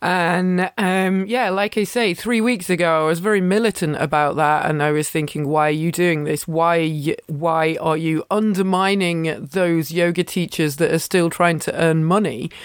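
With an English accent, a woman speaks at a moderate pace in a fairly low pitch, her loudness very even, her pitch variation ordinary and her pauses hardly any, on a very clean recording with a silent background. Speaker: yoga teacher and podcast host. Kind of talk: casual solo chat. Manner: rambling with many fillers.

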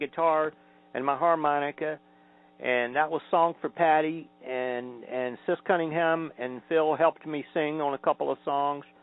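Over music in the background, a man with an American accent speaks at a moderate pace in a fairly high voice with ordinary pitch variation. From Georgia, US. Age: 60s. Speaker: folk singer-songwriter. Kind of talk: interview answers, recalling his career. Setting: phone call.

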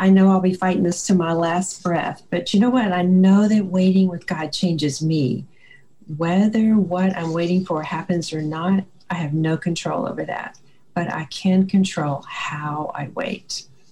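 At a fairly slow pace, a woman with a fairly low pitch talks in a calm, soothing tone with ordinary pitch variation. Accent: Southern US. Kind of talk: faith-based interview with scripture.

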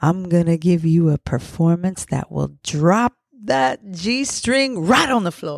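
Very slowly, a woman speaks with a fairly low pitch. Her pitch swings very widely from high to low. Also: dry, close sound with no echo. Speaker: podcast host and poet. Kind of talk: spoken word poem reading, sensual and intimate. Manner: expressive, slow and sultry delivery with building intensity; playful, emotive.

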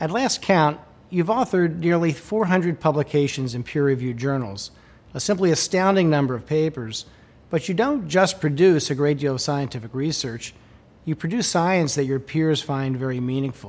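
With a plain, everyday voice, a man speaks at a moderate pace, fairly high in pitch, with lively intonation. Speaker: interviewer. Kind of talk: interview.

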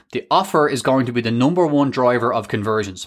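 A man with an Irish accent speaks at a fairly quick pace with ordinary pitch variation on a very clean recording with a silent background. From Ireland. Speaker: podcast host and e-commerce business coach. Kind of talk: solo podcast tutorial. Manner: fast talker; animated.

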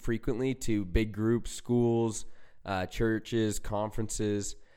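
In a very clean recording with a silent background, a man with a Utah accent speaks very slowly in a flat monotone at a fairly low pitch. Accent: American (Utah). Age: young. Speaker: recovery speaker and young entrepreneur. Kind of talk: casual interview.

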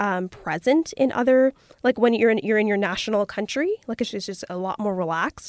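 A woman with a Canadian accent speaks at a fairly quick pace in an unremarkable speaking voice, her fairly high pitch moving with ordinary variation, on a very clean recording with a silent background and a dry, close sound free of echo. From Toronto, Canada. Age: 20s. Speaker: podcast guest. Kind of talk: casual chat.

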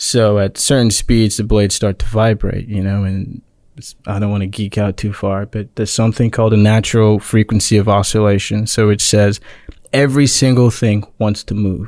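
Fairly low male voice in a very clean recording with a silent background, monotone and flat in intonation, at a moderate pace. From Nigeria (Lagos). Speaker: engineer, alumnus. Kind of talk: casual chat.

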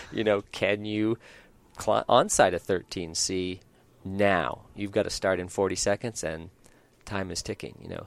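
A man with an unremarkable speaking voice talks fairly slowly in a fairly low pitch, with fairly even intonation, on a very clean recording with a silent background. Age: 50s. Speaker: rock climber. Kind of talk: casual interview. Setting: climbing gym.

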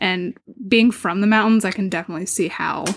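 This woman has an unremarkable speaking voice. She talks at a medium pitch with ordinary pitch variation. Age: 20s. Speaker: podcast host. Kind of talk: casual true crime narration.

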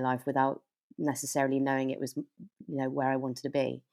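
At a very fast pace, a woman with a very deep, low pitch and a dark, mellow tone speaks on a very clean recording with a silent background. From Devon, southwest England. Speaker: actor. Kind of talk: casual interview chat.

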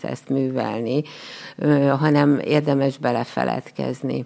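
Very slow and very deep, a woman's low voice carries a dark, mellow tone and fairly even intonation. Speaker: special education teacher and pottery instructor. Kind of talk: interview. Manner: halting.

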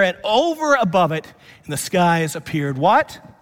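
A man speaks at a high pitch. His tone is animated and warm. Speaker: pastor. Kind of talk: sermon. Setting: church. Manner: animated, warm and conversational, a preacher in full flow; humorous, building call-and-response rhythm with congregation.

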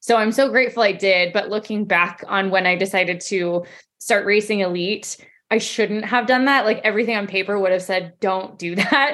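A woman talks with an American accent in a normal speaking voice. Her pitch varies in an ordinary way at a moderate pace. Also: medium pitch for a woman. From Colorado, US. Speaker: professional runner. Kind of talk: interview.

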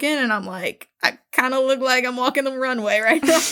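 A woman's high, raised, projected voice in an animated tone. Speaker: podcast co-host. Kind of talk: casual chat. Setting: recording at home.

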